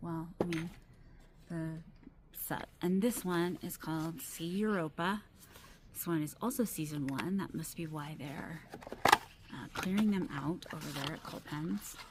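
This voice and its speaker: A soft-spoken woman talks at a fairly slow pace with a fairly low pitch and ordinary pitch variation. She takes long, frequent pauses, and there is noticeable background noise. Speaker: fountain pen reviewer. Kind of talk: casual talk to camera. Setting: outdoors. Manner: trying to be soft-spoken.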